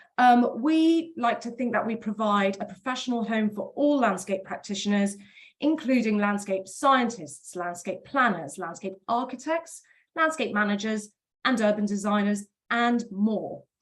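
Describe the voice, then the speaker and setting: A woman with a British accent speaks in a fairly high pitch that is somewhat breathy. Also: lively intonation. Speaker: professional body representative. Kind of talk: webinar presentation. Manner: fast.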